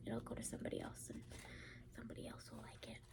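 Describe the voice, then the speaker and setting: A woman is whispering. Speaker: ASMR creator. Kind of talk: ASMR book review. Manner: soft-spoken, whispered.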